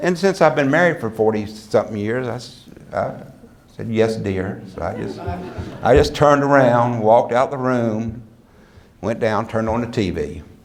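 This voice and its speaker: A man with a medium pitch and an American accent talks at a moderate pace with lively intonation and long, frequent pauses, against noticeable background noise. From US South. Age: 60s. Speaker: motivational speaker. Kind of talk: speech to an audience. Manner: animated.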